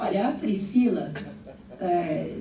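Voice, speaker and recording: With lively intonation, a woman speaks at medium pitch amid noticeable background noise and audible room echo. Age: 70s. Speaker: gubernatorial candidate and education professor. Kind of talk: political debate. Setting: panel debate before an audience of teachers.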